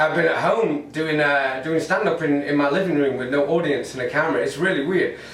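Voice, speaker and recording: In an English accent, a man speaks at a fairly high pitch and moderate pace with ordinary pitch variation. Audible room echo and noticeable background noise come through. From northern England, Manchester. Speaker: stand-up comedian. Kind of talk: stand-up. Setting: home recording to camera, no audience.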